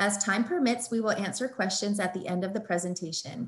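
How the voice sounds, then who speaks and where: A somewhat breathy woman at medium pitch, with ordinary pitch variation and a fairly quick pace. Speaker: webinar moderator. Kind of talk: webinar introduction. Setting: online webinar. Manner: formal. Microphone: webcam.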